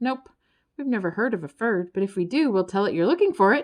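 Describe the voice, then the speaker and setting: A woman uses a put-on character voice, raised and projected, at a medium pitch. She talks at a very fast pace over a quiet background. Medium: read story. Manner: many voices at once.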